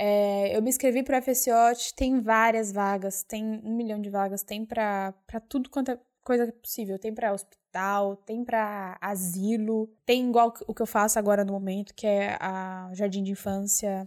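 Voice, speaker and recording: On a very clean recording with a silent background, a woman with a fairly high pitch speaks at a fairly slow pace with hardly any pauses and fairly even intonation. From São Paulo, Brazil (East Zone). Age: 20s. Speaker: au pair and volunteer worker. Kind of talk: casual interview chat. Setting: studio, face to face.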